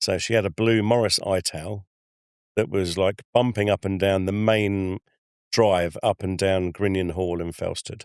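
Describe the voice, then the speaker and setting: In a very clean recording with a silent background, a man speaks slowly and flatly in a monotone at a fairly low pitch, the sound dry and close with no echo. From Essex, England (Chelmsford). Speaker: travel designer. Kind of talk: casual chat.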